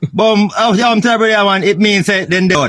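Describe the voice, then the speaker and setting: A man with a Jamaican accent at a high pitch and a moderate pace, with a dry, close sound with no echo. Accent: Jamaican Patois. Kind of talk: casual comedic reaction talk.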